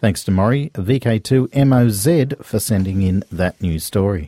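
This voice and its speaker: With an Australian accent, the dark, mellow voice makes very wide pitch swings in a very clean recording with a silent background and a dry, close sound with no echo. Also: man. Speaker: radio host. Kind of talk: news reading.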